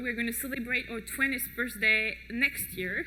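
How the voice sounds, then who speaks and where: A woman with a high pitch speaks in a raised, projected voice, with noticeable background noise and audible room echo. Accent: French. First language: French. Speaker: project manager at food safety organization. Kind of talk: conference talk. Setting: stage with audience. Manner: hesitant with many fillers.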